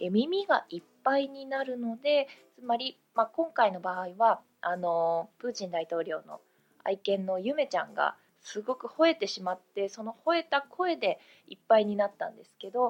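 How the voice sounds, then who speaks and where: At a moderate pace, this voice makes very wide pitch swings and big swings in loudness. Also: woman. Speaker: English teacher. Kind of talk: tutorial. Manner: frequent filler hesitations.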